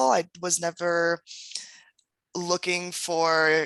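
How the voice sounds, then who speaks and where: A woman speaks with a Californian accent. Her tone is bright and sharp against a quiet background. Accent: Californian American. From US West Coast, San Diego, California. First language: German and Spanish. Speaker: entrepreneur and author. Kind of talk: podcast interview.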